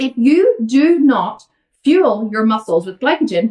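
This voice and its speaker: A woman speaks with an Irish accent. Her pitch swings very widely. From Ireland. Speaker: vegan fitness coach. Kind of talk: Q&A livestream. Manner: fast; animated.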